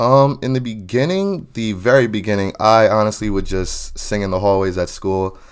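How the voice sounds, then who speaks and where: Male speech in an American accent at a moderate pace, ordinary pitch variation, hardly any pauses. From New Jersey / New York area. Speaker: R&B singer. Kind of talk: interview. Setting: podcast.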